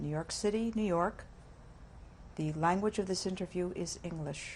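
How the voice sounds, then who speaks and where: At a moderate pace, a woman speaks somewhat breathily at a medium pitch with fairly even intonation. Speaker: interviewer. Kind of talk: interview questions.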